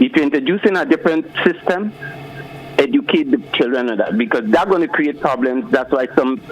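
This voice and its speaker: Against noticeable background noise, a man talks at a fairly quick pace and fairly high pitch, his voice making very wide pitch swings. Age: 60s. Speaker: caller. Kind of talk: call-in opinion. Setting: phone call.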